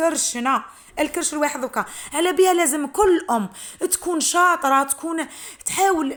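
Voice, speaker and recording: A woman talks with an Algerian accent. Her pitch is high, and her pace is moderate. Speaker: homemaker and mother; psychologist. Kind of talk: casual talk to camera, home routine vlog.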